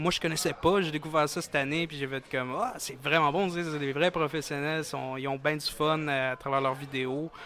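With a Quebec accent, a man talks at a moderate pace in a fairly high pitch with fairly even intonation, and there is noticeable background noise. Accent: Québécois French. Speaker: event organizer. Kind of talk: interview. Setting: gaming bar terrace.

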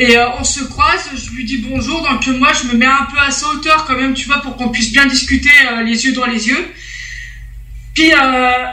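Amid noticeable background noise and audible room echo, a woman uses a raised, projected voice at a high pitch. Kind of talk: casual chat.

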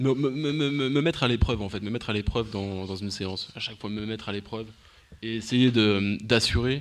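This is a man with a plain, everyday voice at a medium pitch. He keeps a moderate pace with ordinary pitch variation. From Paris. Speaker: martial arts practitioner. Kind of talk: interview.

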